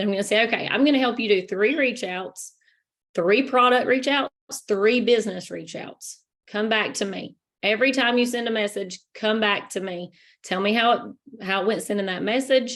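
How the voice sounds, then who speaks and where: A woman's fairly high-pitched voice, an ordinary speaking voice, at a moderate pace with ordinary pitch variation, in a very clean recording with a silent background. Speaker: network marketing team leader. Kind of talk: training presentation.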